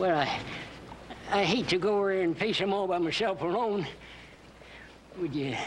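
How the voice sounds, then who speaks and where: Over clear background noise, a man does a high-pitched, drawling put-on character voice at a moderate pace, with very even loudness, ordinary pitch variation and long, frequent pauses. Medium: short film. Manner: folksy drawl, ungrammatical.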